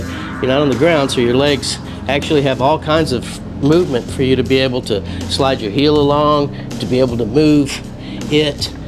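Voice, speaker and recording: Music plays in the background with audible room echo. A man speaks at a moderate pace in a fairly high pitch. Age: 60s. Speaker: fitness equipment inventor. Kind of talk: tutorial. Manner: halting.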